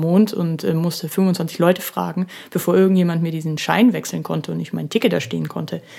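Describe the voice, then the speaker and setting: On a very clean recording with a silent background, a woman speaks at a fairly low pitch in a dark, mellow tone. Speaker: podcast host. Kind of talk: solo podcast monologue. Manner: casual, with many filler sounds; laughs while speaking.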